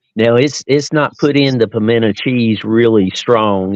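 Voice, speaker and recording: Speaking in an Appalachian accent, a man uses a fairly low pitch with ordinary variation at a moderate pace. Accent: Appalachian Southern US. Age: 60s. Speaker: podcast guest. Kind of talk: casual chat.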